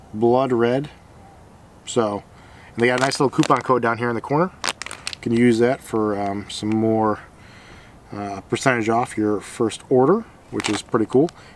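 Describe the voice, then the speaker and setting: A man speaks at a moderate pace with fairly even intonation and long, frequent pauses. The sound is dry with no echo, over light background noise. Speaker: fishing vlogger. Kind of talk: casual unboxing commentary. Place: garden. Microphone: phone near.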